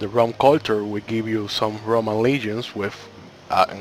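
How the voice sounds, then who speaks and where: Noticeable background noise sits behind a man with a non-native accent. He talks at a fairly slow pace in a monotone, flat intonation. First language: not English. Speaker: gaming YouTuber. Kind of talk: game tutorial. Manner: slightly halting.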